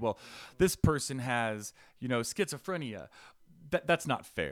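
A man speaks in an energetic tone with lively intonation at a moderate pace. The recording is very clean, with a silent background. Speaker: housing advocate. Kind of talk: podcast interview, personal testimony. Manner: energetic, loud.

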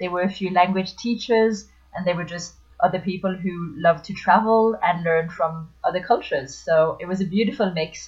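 Her voice somewhat breathy, a woman talks at a moderate pace and medium pitch with fairly even intonation. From France (Paris area). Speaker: language teacher. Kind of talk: interview.

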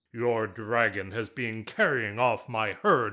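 Putting on a raspy character voice, a man speaks at medium pitch and a fairly slow pace. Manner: indignant, exasperated.

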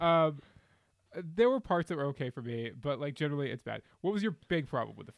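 A man's fairly high voice with lively intonation, big swings in loudness, a fairly quick pace and a dry, close sound with no echo. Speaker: podcast co-host. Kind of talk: casual chat. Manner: sounds sarcastic even when sincere.

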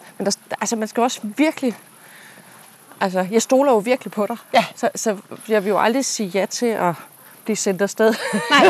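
Noticeable background noise sits behind a woman with a fairly high pitch and ordinary pitch variation. She keeps a moderate pace but takes long, frequent pauses. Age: 40s. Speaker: podcast host and leadership coach. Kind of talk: casual chat. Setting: outdoors.

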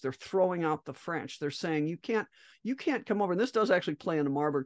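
A woman speaks with fairly low pitch and lively intonation, recorded dry and close with no echo against a quiet background. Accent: American. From US Midwest, Great Plains. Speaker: medical doctor. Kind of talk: interview. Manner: halting, frequent repetitions.

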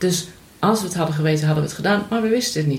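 Woman's voice with ordinary pitch variation, noticeable background noise and audible room echo. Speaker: mother of host. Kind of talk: casual chat.

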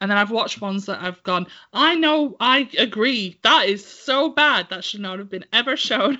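A woman speaks at a fairly high pitch. She has an English accent. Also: lively intonation, moderate pace, hardly any pauses, big swings in loudness. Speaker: podcast co-host. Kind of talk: casual chat.

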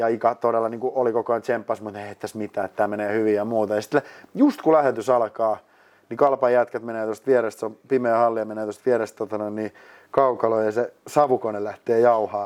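This man speaks at a very fast pace, his intonation monotone and flat while his loudness swings widely. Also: medium pitch for a man. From Finland, Lahti. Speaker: ice hockey studio host and producer. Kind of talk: casual interview. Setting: mini studio.

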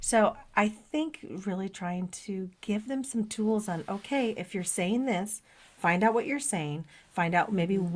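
Somewhat breathy and at a fairly slow pace, a woman talks with lively intonation in a very clean recording with a silent background. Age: 50s. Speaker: podcast co-host, lightworker. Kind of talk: casual chat.

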